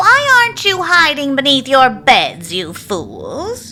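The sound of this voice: A man puts on a character voice at an extremely high pitch, with a bright, sharp tone and big pitch swings. He talks at a slow pace over faint background noise.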